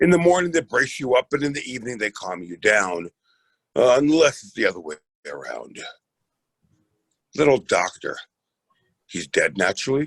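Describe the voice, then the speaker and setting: In a put-on, raspy character voice, the speaker goes at a moderate pace with long, frequent pauses and big swings in loudness, in a dry, close sound with no echo. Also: man, medium pitch for a man. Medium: stage play. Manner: imperious, theatrical.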